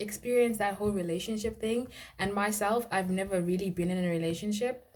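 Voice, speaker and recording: At a fairly quick pace, a woman speaks in a somewhat breathy, medium-pitched voice. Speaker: vlogger. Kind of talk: casual storytime vlog. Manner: soft-spoken.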